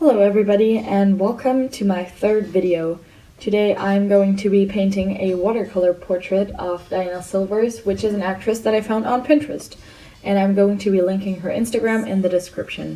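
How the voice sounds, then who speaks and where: Over noticeable background noise, a woman talks fairly quickly with a medium pitch and fairly even intonation. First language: not English. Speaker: art channel creator. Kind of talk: voiceover tutorial.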